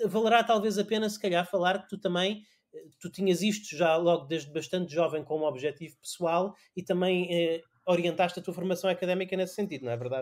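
A man's high voice moves at a fairly quick pace, its pitch varying in an ordinary way. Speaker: podcast host. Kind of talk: casual chat.

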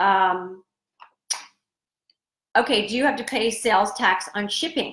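A woman speaks slowly at a medium pitch, her tone fairly bright and her pitch varying in an ordinary way. Room echo can be heard around her.

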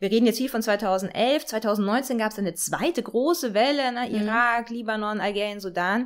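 Animated in tone, a woman with a fairly high pitch and ordinary pitch variation speaks at a moderate pace with hardly any pauses. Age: 40s. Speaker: political scientist. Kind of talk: interview.

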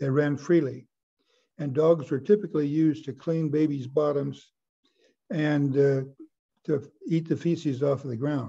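A man's fairly high, somewhat breathy voice with a dark, mellow tone, at a moderate pace with fairly even intonation and long, frequent pauses. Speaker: audience member. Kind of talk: question and answer.

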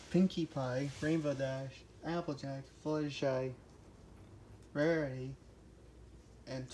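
A woman talks at a very slow pace in a very deep, low pitch with a dark, mellow tone and monotone, flat intonation. Light background noise is present. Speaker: toy puppeteer storyteller. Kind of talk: casual storytelling with toys. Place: home room. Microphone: phone near.

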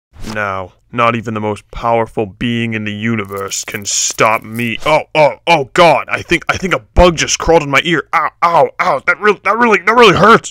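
A man in a put-on character voice, medium in pitch, at a fairly slow pace. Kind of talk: comic parody voice acting. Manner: menacing, then comically whiny.

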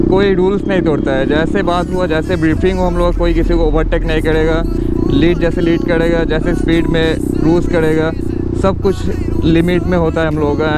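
Music plays in the background as a man speaks at a fairly slow pace, the sound dry with no echo. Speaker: motovlogger leading a group ride. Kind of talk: casual vlog chat. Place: motorbike.

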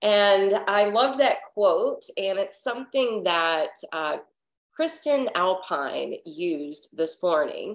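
Over a quiet background, a woman speaks at a very slow pace with very wide pitch swings. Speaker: yoga teacher. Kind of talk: casual class introduction story. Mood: warm and cheerful. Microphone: webcam.

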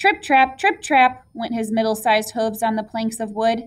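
This is an unforced reading voice. Its intonation is fairly even.

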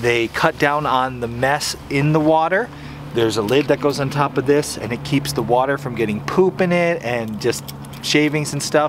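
A man talks at a moderate pace with clear background noise. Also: medium pitch for a man, ordinary pitch variation.

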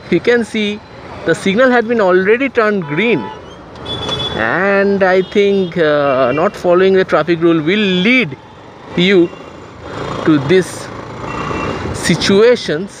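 Against faint background noise, a man speaks slowly in a high voice with ordinary pitch variation.

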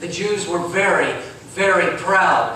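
A man's voice in strong room echo over light background noise. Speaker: pastor. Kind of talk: sermon. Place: church. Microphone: camera far.

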